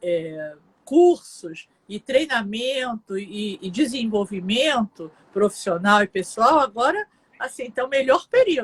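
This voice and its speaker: A woman's fairly high voice with very wide pitch swings, dry and close with no echo. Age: 60s. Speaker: psychologist. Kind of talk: live interview.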